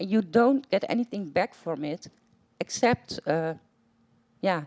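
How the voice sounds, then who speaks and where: A woman's medium-pitched voice, dark and mellow in tone, with lively intonation and a dry, close sound free of echo. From Netherlands. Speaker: patient audience member. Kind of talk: audience question at panel.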